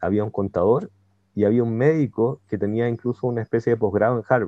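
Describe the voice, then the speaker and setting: A man speaks at a fairly quick pace in a medium-pitched voice. It is an ordinary speaking voice. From Chile, Santiago. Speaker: IT entrepreneur and database engineer. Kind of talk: casual interview.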